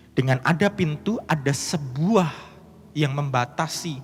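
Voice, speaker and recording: Speaking very slowly in a strong Javanese accent, a man uses ordinary pitch variation. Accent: strong Javanese (medok). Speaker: pastor. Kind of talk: sermon.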